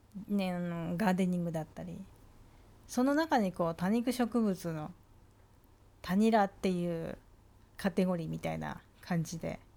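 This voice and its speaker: Speaking at a moderate pace with long, frequent pauses, a woman uses a medium pitch, ordinary pitch variation and a dark, mellow tone. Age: 50s. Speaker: vlogger. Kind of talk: casual monologue. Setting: lying on a sofa.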